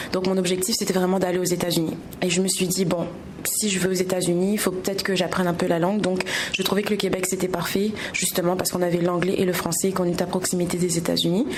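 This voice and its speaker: Very fast and monotone with flat intonation, a woman talks at medium pitch with very even loudness, with audible room echo and noticeable background noise. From Réunion. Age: 20s. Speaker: entrepreneur. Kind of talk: interview.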